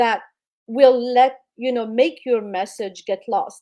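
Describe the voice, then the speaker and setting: Her voice sits high in pitch, with a dark, mellow tone. This woman speaks with a non-native accent. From immigrant, non-English-speaking country. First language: not English. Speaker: public speaking coach. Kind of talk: interview advice.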